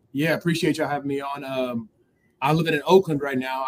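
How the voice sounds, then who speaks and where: A man has an ordinary speaking voice with an American accent. His pitch is fairly high, and his intonation is fairly even. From Iowa (Ames). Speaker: former college football player. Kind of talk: casual chat.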